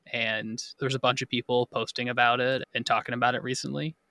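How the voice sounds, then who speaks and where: On a very clean recording with a silent background, a man speaks at a fairly quick pace and medium pitch with ordinary pitch variation, a bright, sharp tone and vocal fry, the sound dry and close with no echo. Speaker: podcast host and editor. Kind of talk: casual chat.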